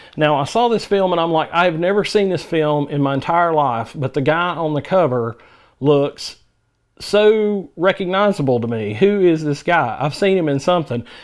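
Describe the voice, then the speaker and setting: The speaker has a Southern US accent and lively intonation. The pace is moderate and the background is quiet. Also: man, fairly high pitch for a man. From US South. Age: 50s. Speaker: movie reviewer. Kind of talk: casual monologue review. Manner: halting, frequent fillers.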